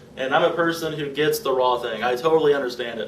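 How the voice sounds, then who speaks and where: With audible room echo, a man talks at a fairly quick pace in a fairly high pitch. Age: 20s. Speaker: vlogger documenting a raw vegan diet. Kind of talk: personal vlog monologue. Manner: casual, halting with fillers.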